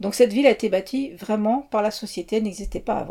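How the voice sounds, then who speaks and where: Her tone is dark and mellow. The woman's pitch variation is ordinary. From France, childhood in Mauritania. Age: 50s. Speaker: interviewee. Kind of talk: interview. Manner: hesitant.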